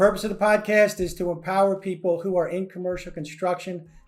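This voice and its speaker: Music plays in the background as a man talks at a very fast pace. His voice is high-pitched, with fairly even intonation. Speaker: podcast host; commercial construction professional. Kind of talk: podcast intro.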